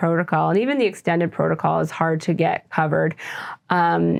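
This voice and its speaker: A woman with an ordinary speaking voice, fairly low in pitch, at a moderate pace. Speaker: physician running a TMS mental health clinic. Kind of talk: interview.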